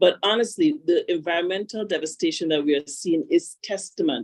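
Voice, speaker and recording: With a Grenadian accent, a woman at a fairly low pitch makes very wide pitch swings. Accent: Caribbean (Grenadian). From Grenada, Caribbean. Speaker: panel speaker, institute representative. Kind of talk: conference panel remarks.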